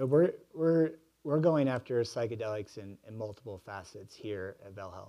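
A man's medium-pitched, dark, mellow voice with lively intonation, big swings in loudness and a moderate pace, over a quiet background. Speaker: behavioral health executive; panel moderator. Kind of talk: Q&A moderation. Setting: stage with audience. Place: hall.

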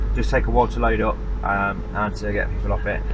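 A man is speaking. Background noise is noticeable. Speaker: road trip vlogger. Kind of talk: casual vlog chat. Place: car. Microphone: phone near.

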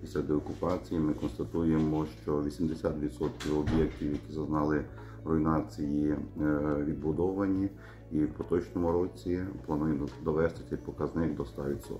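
Over faint music in the background, a man with a very deep, low pitch speaks at a fairly slow pace with ordinary pitch variation. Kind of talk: interview answer. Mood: serious, measured. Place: office. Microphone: phone near.

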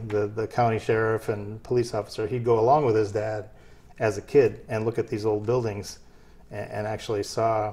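A man's dark, mellow, somewhat breathy voice sits at a fairly low pitch, moving at a moderate pace with monotone, flat intonation. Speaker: guest. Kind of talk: interview answer.

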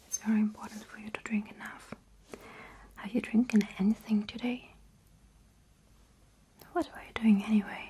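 A soft-spoken woman's fairly slow, fairly even speech over noticeable background noise. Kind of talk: soft-spoken role-play. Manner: soft, intimate ASMR murmur. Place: home room. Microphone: studio mic.

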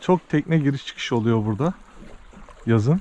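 The sound is dry, with no echo. A man speaks at a moderate pace with ordinary pitch variation. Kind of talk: casual vlog chat. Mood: calm, content. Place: waterside. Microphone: phone near.

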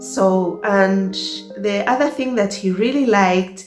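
A woman speaks at a very slow pace with audible room echo. Clear music plays in the background. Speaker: vlogger. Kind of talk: casual storytime vlog chat. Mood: cheerful, laughing often. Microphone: phone near.

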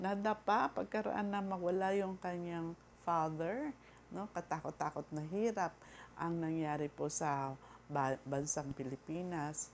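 A woman speaks at a fairly slow pace. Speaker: vlogger. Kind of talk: casual monologue. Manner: halting.

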